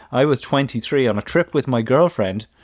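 A man with an Irish accent talks at a medium pitch with ordinary pitch variation. The sound is dry and close with no echo, on a very clean recording with a silent background. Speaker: parenting podcast co-host. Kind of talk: casual chat.

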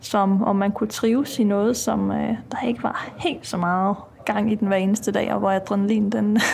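There is noticeable background noise. A woman speaks over it at a moderate pace. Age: 40s. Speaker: prison officer. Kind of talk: interview.

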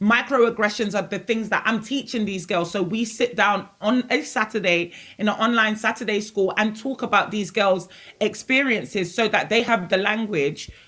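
Bright and sharp in tone, a woman speaks at a fairly high pitch and a moderate pace. The recording is very clean, with a silent background. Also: ordinary pitch variation. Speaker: youth organisation founder. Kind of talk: roundtable discussion.

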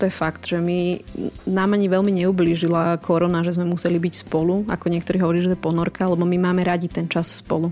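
With music in the background, a woman with a fairly low pitch talks very fast in a monotone, flat way at very even loudness. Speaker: mother of ten. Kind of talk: interview. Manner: brisk, firm-sounding.

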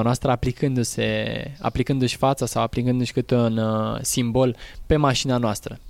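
A man talks in an unremarkable speaking voice at a medium pitch, with fairly even intonation. The recording is very clean, with a silent background. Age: 20s. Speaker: rally driver and driving instructor. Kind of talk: interview. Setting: outdoors.

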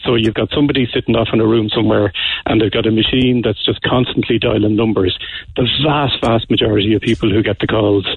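In an Irish accent, the speaker goes at a fairly quick pace. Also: man. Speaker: bank security expert. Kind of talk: radio interview. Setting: phone call.

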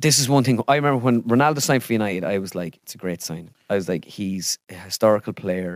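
In an Irish accent, a man with a fairly low pitch talks at a very fast pace with lively intonation, the sound dry and close with no echo on a very clean recording with a silent background. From Ireland. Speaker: impressionist. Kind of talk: casual chat. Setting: video studio.

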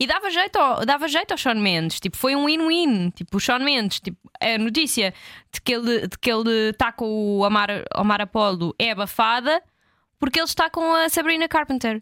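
A woman with a European Portuguese accent speaks at a high pitch in a bright, sharp tone with very wide pitch swings, in a dry, close sound with no echo. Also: moderate pace. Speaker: podcast co-host. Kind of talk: casual chat.

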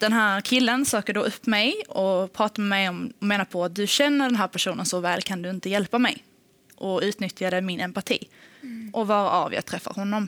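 A woman's normal speaking voice, medium pitch with ordinary variation, at a moderate pace, in dry, close sound with no echo. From Sweden, Helsingborg (Skåne). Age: 20s. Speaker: podcast guest. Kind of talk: personal testimony.

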